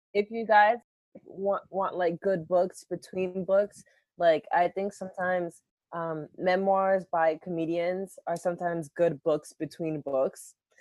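This is a normal speaking voice with an American accent, moving at a fairly slow pace. The intonation stays fairly even, and the sound is dry and close with no echo. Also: woman, medium pitch for a woman. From US, Boston. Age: 20s. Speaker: working young adult, host's daughter. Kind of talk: casual chat.

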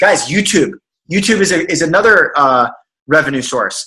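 A man talks at a fairly quick pace in a high, bright, sharp voice. His pitch varies in an ordinary way. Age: 20s. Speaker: financial advisor and entrepreneur. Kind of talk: casual interview chat. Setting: video call. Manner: animated.

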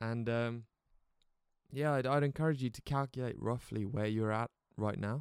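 A man with an English accent speaks at a moderate pace in a medium pitch, his intonation fairly even, with long, frequent pauses. The sound is dry and close, with no echo. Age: 20s. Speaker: podcaster and creative entrepreneur. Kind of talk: casual solo podcast monologue. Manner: casual, with frequent fillers and restarts.

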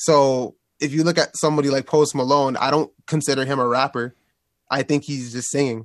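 A fairly high-pitched male voice with a Toronto accent, fairly quick and monotone, in a dry, close sound with no echo. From Toronto, Canada. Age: 20s. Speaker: rapper and producer. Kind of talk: interview.

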